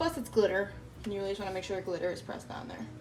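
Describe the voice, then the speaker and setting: Audible room echo surrounds a woman's voice. Music plays behind her. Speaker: crafting YouTuber. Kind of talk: tutorial. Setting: home workspace. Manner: fast; casual, filler-heavy.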